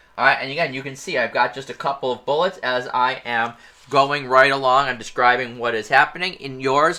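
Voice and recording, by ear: A natural-sounding voice reads the words aloud.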